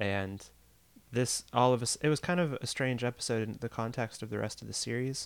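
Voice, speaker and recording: On a very clean recording with a silent background, a man with an unremarkable speaking voice talks fairly quickly at medium pitch, his pitch varying in an ordinary way. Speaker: podcast co-host. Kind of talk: casual chat.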